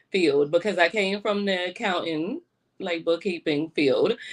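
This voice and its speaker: In a New York accent, a woman speaks over a quiet background. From New York, Brooklyn. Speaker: event producer and hospitality executive. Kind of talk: radio interview.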